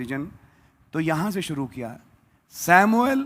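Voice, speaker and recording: A man speaks at a high pitch. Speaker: pastor. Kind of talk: sermon. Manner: not loud.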